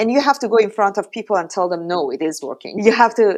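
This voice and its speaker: Against a quiet background, a woman with a strong Iranian accent speaks at a medium pitch. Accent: heavy Iranian. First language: Persian. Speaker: startup founder. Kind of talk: podcast interview.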